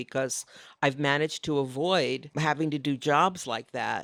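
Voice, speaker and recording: A woman speaks at a very deep, low pitch on a very clean recording with a silent background and a dry, close sound with no echo. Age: 60s. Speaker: designer and painter, author. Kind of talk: casual interview chat. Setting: live podcast recording at design conference.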